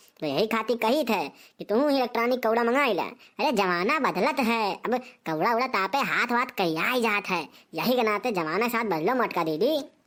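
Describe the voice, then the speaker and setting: A woman speaks in a cartoonish character voice, fairly high, with lively intonation. Her pace is moderate, with hardly any pauses. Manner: bossy, lecturing.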